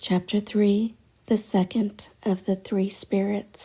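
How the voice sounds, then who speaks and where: A soft-spoken woman with a somewhat breathy, dark, mellow and soothing tone speaks at a fairly slow pace in a very clean recording with a silent background. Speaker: audiobook narrator. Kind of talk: sleep story. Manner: soothing, soft-spoken.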